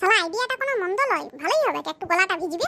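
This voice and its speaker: In a squeaky, cartoonish character voice, a woman speaks at an extremely high pitch. Her intonation is lively and her pace fairly quick. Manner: cocky, wheedling.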